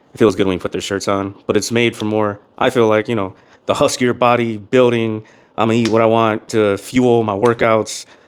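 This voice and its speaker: A man with a medium pitch speaks in a flat monotone in a very clean recording with a silent background. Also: moderate pace. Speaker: fitness vlogger reviewing clothes. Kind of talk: casual vlog review.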